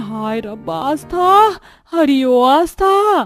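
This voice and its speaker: Over music in the background, a woman shouts in a put-on character voice. Her pitch is high, with very wide swings. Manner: shouting, calling out.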